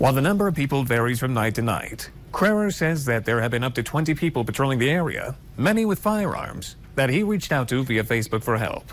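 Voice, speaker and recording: Over noticeable background noise, a man talks at a very fast pace with a medium pitch. His pitch swings very widely while his loudness stays very even. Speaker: television news reporter. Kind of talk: on-location news report voiceover. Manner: clear, polished, professional.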